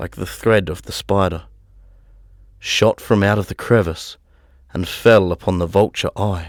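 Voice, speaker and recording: A man's fairly low voice at a fairly slow pace, with long, frequent pauses, big swings in loudness and fairly even intonation, dry and close with no echo on a very clean recording with a silent background. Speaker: audiobook narrator. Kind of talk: dark, spooky audiobook narration.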